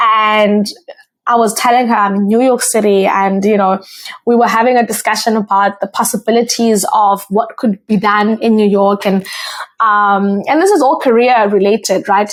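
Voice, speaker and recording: Speaking with a South African accent, a woman holds a fairly high pitch, a moderate pace, fairly even intonation and very even loudness. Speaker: podcast host. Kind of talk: solo podcast monologue. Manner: casual, with frequent fillers.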